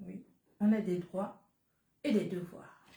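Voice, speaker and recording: The voice moves at a very slow pace. It sounds somewhat breathy. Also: woman. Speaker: businesswoman selling supplements. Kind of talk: live-stream sales pitch. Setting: live stream.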